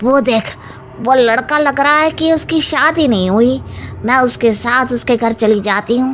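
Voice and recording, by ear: A female-sounding cartoonish character voice, pitched high, talks at a moderate pace over clear background noise.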